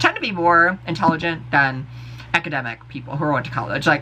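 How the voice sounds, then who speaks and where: The voice moves at a fairly quick pace with an animated tone, over noticeable background noise. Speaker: vlogger. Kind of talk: casual rant to camera. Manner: fast.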